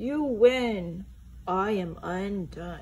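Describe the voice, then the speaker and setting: Over light background noise, a female-sounding voice at medium pitch for a woman does a put-on character voice. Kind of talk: children's book read-aloud. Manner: defeated, tearful.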